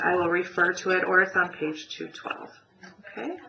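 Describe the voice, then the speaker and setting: Over noticeable background noise and audible room echo, a woman speaks at a fairly low pitch. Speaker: math teacher. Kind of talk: recorded lecture. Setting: pre-recorded web class.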